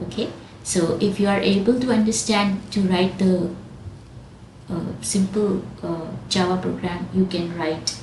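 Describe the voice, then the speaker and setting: A woman talks at a fairly slow pace with ordinary pitch variation, over noticeable background noise and with audible room echo. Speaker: programming teacher. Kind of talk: tutorial.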